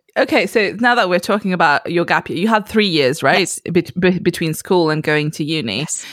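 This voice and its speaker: With lively intonation and hardly any pauses, a plain, everyday voice moves at a fairly quick pace in a very clean recording with a silent background. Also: woman, fairly low pitch for a woman. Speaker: podcast host. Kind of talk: casual interview chat.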